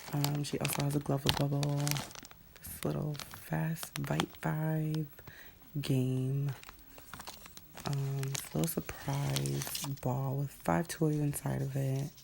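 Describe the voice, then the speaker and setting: Over noticeable background noise, a woman with a very deep, low pitch talks at a very slow pace, with fairly even intonation and long, frequent pauses. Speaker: vlogger. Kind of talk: casual show-and-tell.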